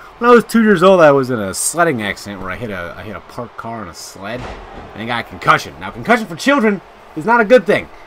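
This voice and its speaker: A man talks very fast in a fairly high voice, his pitch swinging very widely. His loudness rises and falls sharply, and noticeable background noise runs underneath. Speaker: video game commentator. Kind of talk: live play-by-play commentary. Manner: casual.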